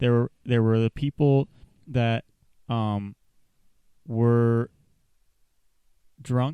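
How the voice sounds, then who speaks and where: A man's medium-pitched voice with an American accent and a dark, mellow tone, very slow and very even in loudness, with long, frequent pauses. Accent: slight southern, stronger when passionate. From rural US South. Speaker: podcast co-host. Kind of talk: casual chat. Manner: animated, halting with fillers. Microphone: mic held very close to mouth.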